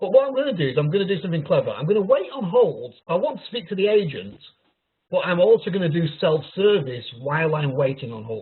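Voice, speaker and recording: A man with a Yorkshire accent, high-pitched, very fast, with very wide pitch swings. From Yorkshire, northern England. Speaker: technical pre-sales consultant. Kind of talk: webinar product demo. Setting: online webinar.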